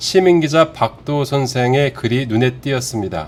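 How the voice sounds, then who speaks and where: This man has a plain, everyday voice. He talks at a fairly slow pace. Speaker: journalist, interviewer. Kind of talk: news program intro to viewers.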